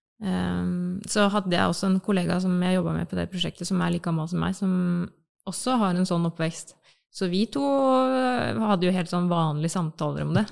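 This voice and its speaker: Heard here is a woman talking at a moderate pace. The recording is very clean, with a silent background. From Norway, Bamble in Telemark. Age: 30s. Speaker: advertising agency worker. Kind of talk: casual chat.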